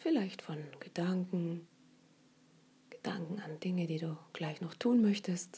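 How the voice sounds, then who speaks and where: Long, frequent pauses interrupt speech delivered at a very slow pace. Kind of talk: guided meditation. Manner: slow, soft-spoken, soothing; gentle, unhurried, with long pauses.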